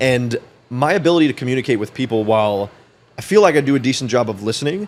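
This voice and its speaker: Speaking at a very fast pace, a man uses a medium pitch and lively intonation. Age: 20s. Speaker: entrepreneur and financial advisor. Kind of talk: podcast interview.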